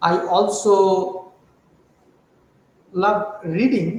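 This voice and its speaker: A high-pitched man with a Bengali accent, with audible room echo. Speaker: chemistry professor. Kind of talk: interview. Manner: hesitant, many fillers.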